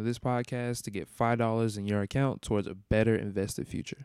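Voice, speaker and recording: A man with a plain, everyday voice, medium in pitch and fairly quick in pace, on a very clean recording with a silent background. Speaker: music podcast host. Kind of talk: casual podcast monologue. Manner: casual, conversational, slangy.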